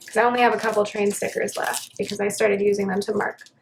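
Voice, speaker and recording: A woman speaks with a fairly high pitch. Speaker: planner vlogger. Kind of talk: casual chat. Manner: relaxed, hesitant with fillers.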